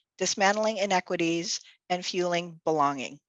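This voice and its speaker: At a moderate pace, a woman talks in a dry, close sound with no echo. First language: Tagalog. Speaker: nonprofit executive director. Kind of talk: virtual event hosting.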